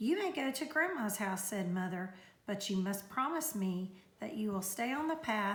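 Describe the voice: Lively intonation marks the speech. It is plain reading aloud.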